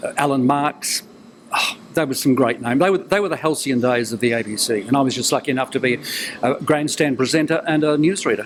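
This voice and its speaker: A man speaks at a very fast pace in a fairly high voice. His pitch varies in an ordinary way. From New Zealand. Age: 70s. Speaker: retired broadcaster and newsreader. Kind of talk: interview. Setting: TV interview.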